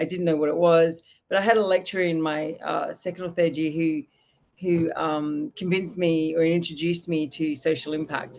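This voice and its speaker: Using a fairly low pitch and fairly even intonation, a woman speaks at a moderate pace with an Australian accent. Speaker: social impact consultant and business founder. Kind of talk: podcast interview. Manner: casual, with many fillers and restarts.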